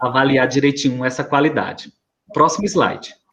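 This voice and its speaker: A man is speaking. His pace is moderate. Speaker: school staff presenting to parents. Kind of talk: presentation to parents in online meeting.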